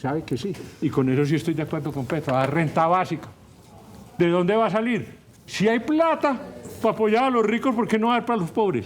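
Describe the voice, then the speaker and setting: A man's high-pitched, animated voice at a fairly quick pace, with very wide pitch swings, long, frequent pauses and audible room echo. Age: 70s. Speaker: professor and political commentator. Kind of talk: talk show interview.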